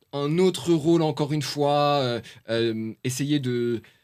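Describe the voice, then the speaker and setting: With a Paris suburban accent, a man speaks at a fairly high pitch with fairly even intonation. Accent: Parisian banlieue street accent, adopted. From France. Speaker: journalist and author. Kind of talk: podcast interview. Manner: hesitant, many fillers.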